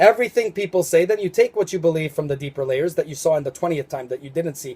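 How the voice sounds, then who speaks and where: The man's tone is dark and mellow. His pitch sits fairly high. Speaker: religious video commentator. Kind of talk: spiritual monologue video. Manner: fast; halting, many fillers.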